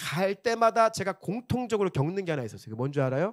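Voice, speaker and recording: In a Chungcheong accent, a man speaks in an animated tone on a very clean recording with a silent background and a dry, close sound with no echo. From South Korea, Chungcheong region. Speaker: pastor. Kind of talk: sermon. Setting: church.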